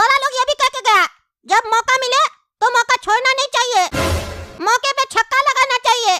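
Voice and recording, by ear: A cartoonish character voice with a bright, sharp tone speaks at a moderate pace with ordinary pitch variation. The sound is dry and close with no echo, with faint music in the background.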